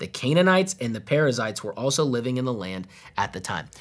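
A man's very fast speech with lively intonation. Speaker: pastor teaching. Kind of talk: Bible teaching. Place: studio.

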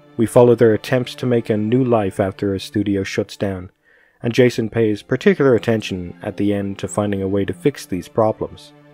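Music plays in the background as a man speaks at a fairly quick pace with a fairly low pitch, fairly even intonation and a dry sound with no echo. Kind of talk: commentary.

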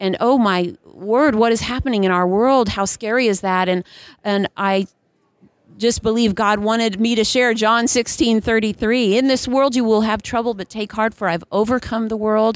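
An unremarkable speaking voice from a woman, fairly high in pitch, moderate in pace, with fairly even intonation, in a very clean recording with a silent background. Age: 40s. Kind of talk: casual interview. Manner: laughs often.

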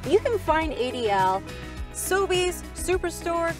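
Clear music plays in the background as a woman speaks in a dry sound with no echo. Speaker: wine expert host. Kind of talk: tutorial. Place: open country.

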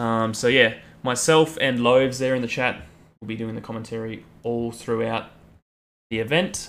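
In an Australian accent, a man speaks at a moderate pace with fairly even intonation and long, frequent pauses. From rural Australia, outback. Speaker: chess streamer. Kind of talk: casual live stream chat. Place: home room. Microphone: headset.

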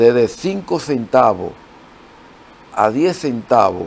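A man speaks at a very slow pace with ordinary pitch variation over light background noise. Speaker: guest. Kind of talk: interview answer. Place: studio. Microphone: lapel.

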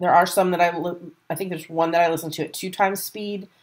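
Against a quiet background, a woman speaks fairly quickly at a fairly low pitch with ordinary pitch variation. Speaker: podcast host. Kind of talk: casual chat. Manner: fast. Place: home room. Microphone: webcam.

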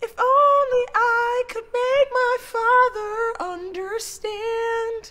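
Put on as a character voice at an extremely high pitch, the speech goes at a very slow pace with hardly any pauses.

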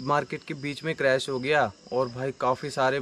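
Moderately paced male speech over faint background noise. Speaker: motorbike vlogger. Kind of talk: casual vlog chat.

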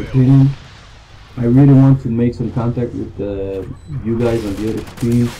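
A man with a French Canadian accent speaks at a moderate pace with fairly even intonation. He leaves long, frequent pauses, and light background noise is present. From Canada. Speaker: gamer. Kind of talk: gameplay commentary. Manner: hesitant, many fillers.

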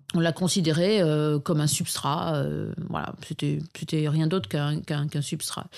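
A woman's fairly low-pitched, ordinary speaking voice at a fairly slow pace, on a very clean recording with a silent background. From northern France, Arras. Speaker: market gardener and permaculture consultant. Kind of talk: interview conversation.

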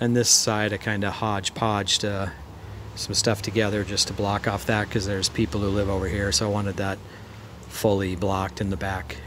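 Noticeable background noise sits behind a man with fairly low pitch who talks at a fairly quick pace with fairly even intonation. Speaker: DIY builder vlogger. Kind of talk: casual vlog chat. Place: garden. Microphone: phone near.

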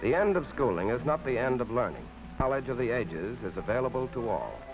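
Clear music plays in the background as a man talks at a fairly quick pace. His intonation is lively. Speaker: narrator. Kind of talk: documentary propaganda film narration. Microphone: old recording.

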